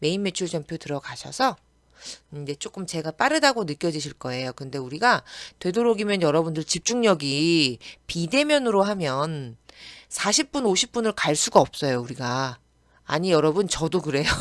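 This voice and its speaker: A woman talks at a moderate pace in a fairly low voice. Her pitch swings very widely, and the sound is dry and close with no echo. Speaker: accounting tax instructor. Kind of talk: online lecture. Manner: casual chatty.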